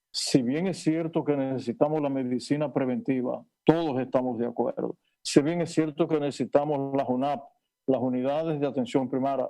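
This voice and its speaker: This man's fairly high voice has a dark, mellow tone and fairly even intonation. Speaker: neurosurgeon. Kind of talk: panel interview. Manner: halting.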